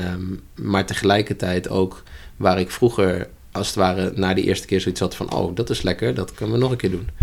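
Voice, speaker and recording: Keeping his intonation fairly even, this man talks at a moderate pace in a very deep, low pitch. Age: 30s. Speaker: holistic coach. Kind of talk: interview conversation. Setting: upstairs room in a church.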